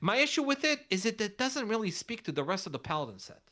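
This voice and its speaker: The woman's tone is bright and sharp. Vocal fry runs through her speech. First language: not English. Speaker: card game content creator, contest judge. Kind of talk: casual chat judging fan card designs. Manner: halting, many restarts.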